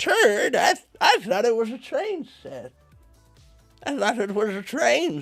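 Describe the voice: A put-on character voice at a high pitch and fairly slow pace, with faint music in the background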